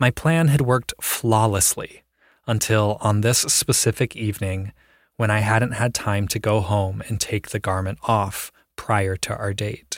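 A man with an American accent speaks at a fairly slow pace in an unremarkable speaking voice, his pitch fairly low and his intonation fairly even. The sound is dry and close with no echo, on a very clean recording with a silent background. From Ohio. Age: adult. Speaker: storyteller. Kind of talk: scripted narration.

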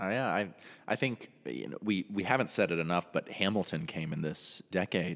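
Very deep, low male voice with vocal fry, lively intonation, an American accent and a moderate pace, recorded dry and close with no echo. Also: very clean recording, silent background. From North Carolina. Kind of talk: casual chat.

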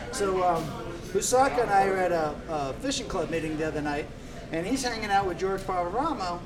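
Amid noticeable background noise, a high-pitched man talks at a fairly quick pace with lively intonation. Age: 50s. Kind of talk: casual chat. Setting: live-streamed studio podcast.

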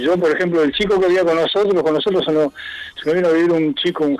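Very fast male speech with noticeable noise in the background. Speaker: rock musician, pianist. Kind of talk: interview.

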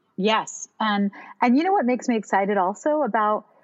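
A woman with an American accent, an ordinary speaking voice, a fairly high pitch and lively intonation. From Miami, US. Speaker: Broadway singer and actress. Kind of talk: casual interview.

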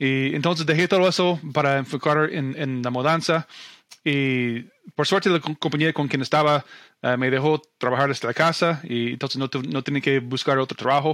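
Here a man speaks with an English accent at a fairly high pitch. He keeps a moderate pace and fairly even intonation. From US Midwest, Omaha, Nebraska. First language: English (speaking Spanish). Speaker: real estate investor. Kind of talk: interview. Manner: halting, many repetitions and fillers.

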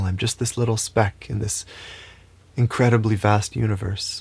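This man has a calm tone and a somewhat breathy voice. His intonation stays fairly even. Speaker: spiritual teacher. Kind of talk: spiritual talk.

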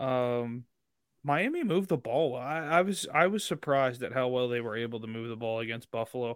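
A man with a Southern US accent speaks at a medium pitch with ordinary pitch variation. His pace is fairly quick. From Mississippi. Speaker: sports podcast co-host. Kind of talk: casual chat.

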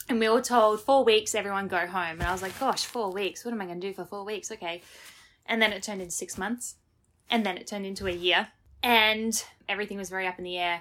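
A woman with an Australian accent, medium pitch, fairly even intonation, very fast pace and big swings in loudness. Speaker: Broadway performer. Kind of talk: interview. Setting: remote call.

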